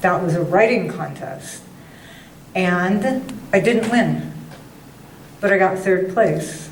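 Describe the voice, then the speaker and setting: A woman's medium-pitched voice at a very slow pace, with long, frequent pauses, ordinary pitch variation, audible room echo and noticeable background noise. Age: 70s. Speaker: writer and former teacher. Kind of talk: talk to a writers club meeting. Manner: animated.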